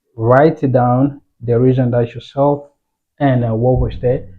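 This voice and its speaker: Speaking with a non-native accent, a man uses monotone, flat intonation at a medium pitch in a somewhat breathy voice. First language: not English. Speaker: forex trading educator. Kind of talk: tutorial. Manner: casual, halting.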